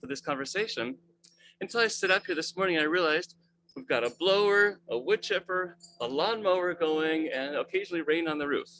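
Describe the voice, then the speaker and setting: A man with a high pitch and a bright, sharp tone, at a fairly quick pace with ordinary pitch variation. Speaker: webmaster of a research website. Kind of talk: presentation in video call. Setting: video call. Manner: fast.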